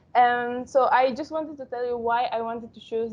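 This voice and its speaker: The speaker has a Spanish accent, a moderate pace and fairly even intonation. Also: woman. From Panama. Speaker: architectural engineering student. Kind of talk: webinar presentation. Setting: online webinar. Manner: halting.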